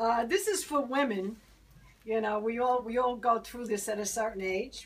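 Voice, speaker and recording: In a Brooklyn accent, a woman speaks at a fairly slow pace. Her fairly high pitch rides on lively intonation. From Brooklyn, New York. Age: 60s. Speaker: poet. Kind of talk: poetry reading.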